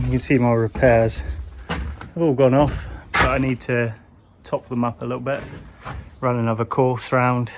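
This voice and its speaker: Fairly even intonation from a male speaker at medium pitch. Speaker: DIY renovation vlogger. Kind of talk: voiceover narration.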